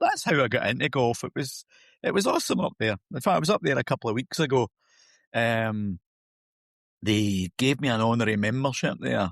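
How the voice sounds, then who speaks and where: A man with a northeastern Scottish accent talks at a fairly quick pace with lively intonation and long, frequent pauses. The sound is dry and close with no echo, over a quiet background. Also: medium pitch for a man. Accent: Scottish, north-east. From north-east Scotland, Huntly. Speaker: golf coach. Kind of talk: podcast interview. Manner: hesitant, repeating words.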